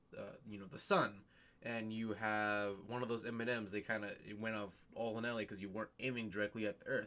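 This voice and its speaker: A man speaks in a fairly low voice. His intonation stays monotone and flat. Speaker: science vlogger. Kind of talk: casual explainer vlog. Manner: fast; halting, many fillers.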